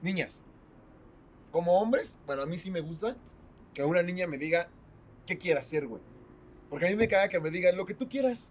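With a Mexican accent and a high pitch, a man speaks with long, frequent pauses. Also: ordinary pitch variation, fairly quick pace. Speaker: podcast co-host. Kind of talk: casual chat.

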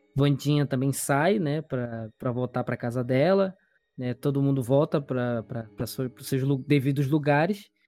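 A man's fairly high voice with a dark, mellow tone, on a very clean recording with a silent background. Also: ordinary pitch variation. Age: 20s. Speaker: podcast host. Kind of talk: casual chat.

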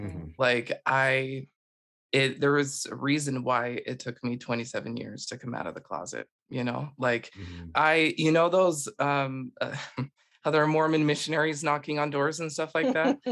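With an American accent, a man talks at a moderate pace in an ordinary speaking voice, his pitch varying in the ordinary way. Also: fairly high pitch for a man. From Utah. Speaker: life coach. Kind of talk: casual chat.

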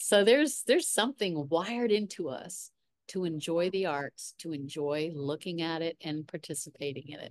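With an ordinary speaking voice and a fairly low pitch, a woman talks at a moderate pace with lively intonation and big swings in loudness, in a dry, close sound with no echo. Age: 60s. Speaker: artist and art mentor. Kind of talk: casual chat.

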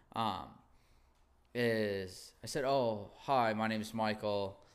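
A man's fairly low voice with fairly even intonation and audible room echo. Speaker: podcast host. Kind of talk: casual chat.

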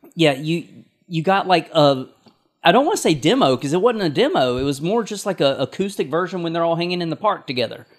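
A man with a high pitch, lively intonation and a very fast pace. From North Carolina (Stokes County). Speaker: podcast co-host. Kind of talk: casual chat. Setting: in a garage.

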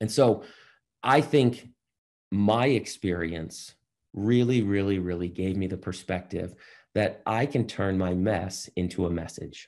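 A plain, everyday voice with an American accent speaks at a fairly slow pace against a quiet background. Its pitch varies in an ordinary way. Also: man, fairly low pitch for a man. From Boston. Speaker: entrepreneur and motivational speaker. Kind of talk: interview.

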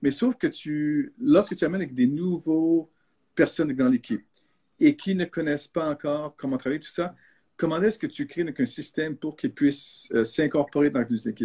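A man's fairly high-pitched voice with a dark, mellow tone and ordinary pitch variation, at a moderate pace over a quiet background, dry and close with no echo. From Canada, French-speaking. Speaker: architect. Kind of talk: live video discussion. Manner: halting.

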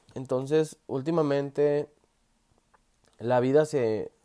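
A man's pitch varies in an ordinary way as he talks very slowly. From Mexico, Sonora. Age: 20s. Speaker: podcaster. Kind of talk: motivational monologue. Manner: halting.

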